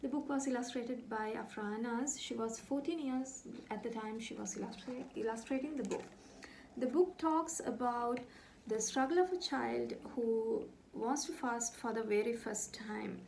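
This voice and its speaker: Speaking at a moderate pace with a Sri Lankan accent, a woman has a high-pitched voice, and audible room echo surrounds it. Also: ordinary pitch variation. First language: Sinhala. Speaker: author. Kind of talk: book presentation.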